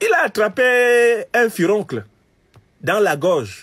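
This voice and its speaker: Behind the man speaking, the background stays quiet. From Cameroon. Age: 50s. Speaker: political commentator. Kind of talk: political commentary monologue. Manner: animated.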